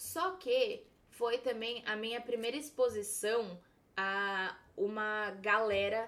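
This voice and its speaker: A woman speaks with an unremarkable speaking voice at a fairly high pitch. Her pitch variation is ordinary. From São Paulo, Brazil. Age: 20s. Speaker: makeup artist. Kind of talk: casual chat.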